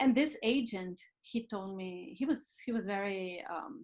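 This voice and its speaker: Over a quiet background, a woman with a non-native accent speaks at a medium pitch and a fairly slow pace with lively intonation. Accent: foreign. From Brazil. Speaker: actress and producer. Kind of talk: casual chat. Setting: video call.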